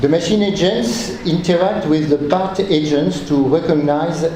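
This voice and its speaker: In a French accent, a man with a fairly high pitch speaks at a fairly slow pace with ordinary pitch variation, amid audible room echo and noticeable background noise. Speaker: researcher. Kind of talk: conference talk. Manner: reading aloud; halting.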